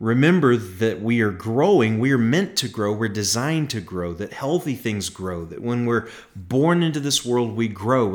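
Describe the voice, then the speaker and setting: A man speaks at a moderate pace with lively intonation and medium pitch. He has a plain, everyday voice. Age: 40s. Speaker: podcast host and pastor. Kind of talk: solo podcast monologue.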